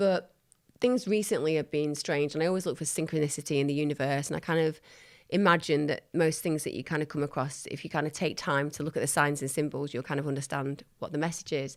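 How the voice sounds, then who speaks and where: Talking at a very fast pace with a northern English accent, a woman has a very deep, low pitch and ordinary pitch variation, on a very clean recording with a silent background. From northern England. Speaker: psychologist and TV presenter. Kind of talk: casual interview chat. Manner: animated.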